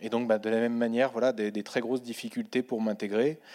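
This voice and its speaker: In a very clean recording with a silent background, a man talks at a medium pitch with monotone, flat intonation. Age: 30s. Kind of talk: panel testimony.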